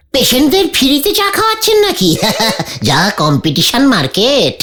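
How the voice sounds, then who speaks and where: This cartoonish character voice sits high in pitch. It moves along at a moderate pace. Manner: comic, boastful.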